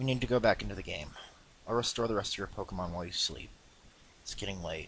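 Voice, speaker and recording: A man's raspy, put-on character voice at medium pitch, delivered at a very fast pace. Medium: read story.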